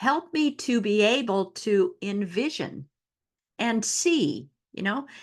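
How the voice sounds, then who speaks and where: Against a quiet background, a woman with a fairly high pitch talks at a very slow pace, her voice making very wide pitch swings. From Newfoundland, Canada. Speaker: astrologer. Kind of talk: astrology talk to camera. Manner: casual, conversational.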